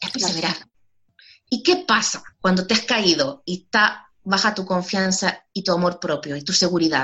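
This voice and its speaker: With an unremarkable speaking voice, a woman talks at a moderate pace and medium pitch, showing ordinary pitch variation. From Chile. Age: 30s. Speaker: educator and self-esteem course creator. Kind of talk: interview.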